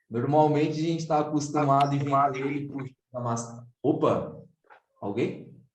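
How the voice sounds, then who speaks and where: Delivered at a moderate pace, the speech has fairly even intonation and audible room echo. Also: man, fairly high pitch for a man. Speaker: book discussion group moderator. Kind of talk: online group meeting facilitation. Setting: video call. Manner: casual, conversational.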